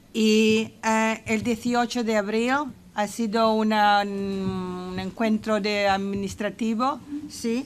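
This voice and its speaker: A woman talks at a very slow pace in a fairly high voice. Her intonation is monotone and flat, and her loudness is very even. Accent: English. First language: English (speaking Spanish). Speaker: residents' association representative. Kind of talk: parliamentary committee hearing. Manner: halting, many fillers.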